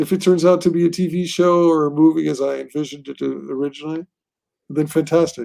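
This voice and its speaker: Speaking at a moderate pace, a man has a high, dark, mellow voice with ordinary pitch variation. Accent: American. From Portugal, Lisbon. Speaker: comic book writer. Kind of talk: interview. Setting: live stream. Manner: casual, filler-heavy.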